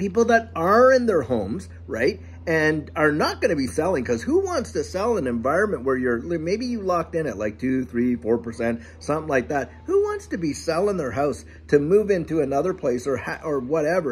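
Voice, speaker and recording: The pitch swings very widely. A man is talking at a moderate pace. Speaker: channel host. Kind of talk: casual vlog chat. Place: garden. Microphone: phone near.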